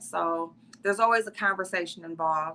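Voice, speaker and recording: A woman speaks at a moderate pace in an American accent. Her tone is bright and sharp. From US Midwest. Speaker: beauty content creator. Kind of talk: interview.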